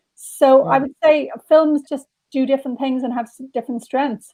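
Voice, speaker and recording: A woman speaks with an Irish accent in a high pitch. Her tone is dark and mellow, and her intonation stays fairly even. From Dublin, Ireland. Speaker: novelist. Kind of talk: interview answer.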